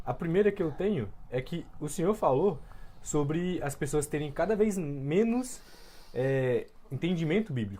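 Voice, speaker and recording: This woman talks at a fairly slow pace with a dark, mellow tone. Her pitch is very deep and low, yet it swings very widely. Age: young. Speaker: podcast host. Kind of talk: interview.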